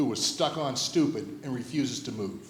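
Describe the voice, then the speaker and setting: A man's fairly high-pitched voice with an American accent, amid noticeable background noise and audible room echo. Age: 60s. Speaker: school head and pastor. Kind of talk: interview Q&A at a school assembly. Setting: stage with audience.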